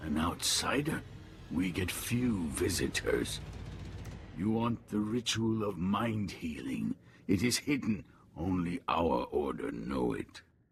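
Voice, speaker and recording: Speaking fairly slowly, a man uses a put-on character voice. His pitch is very deep and low. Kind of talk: video game voice acting. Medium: video game. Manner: terse, flat, formal, speaks as "we".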